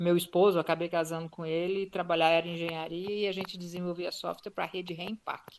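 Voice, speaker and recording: In a monotone, flat intonation, a woman talks with a fairly low pitch. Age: 60s. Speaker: retired tech entrepreneur. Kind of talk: interview.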